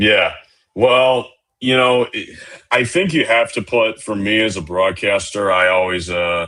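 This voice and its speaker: A man speaks in a booming voice with fairly low pitch. His pitch variation is ordinary. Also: fairly slow pace. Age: 20s. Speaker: minor league baseball broadcaster. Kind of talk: casual interview chat. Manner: hesitant with fillers.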